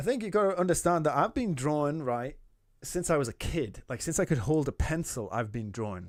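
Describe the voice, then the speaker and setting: A man with a Geordie accent talks at a fairly quick pace and a fairly high pitch. His pitch swings very widely, on a very clean recording with a silent background. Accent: soft Geordie. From Newcastle, northern England. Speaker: artist streamer giving feedback. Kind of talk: live stream chat.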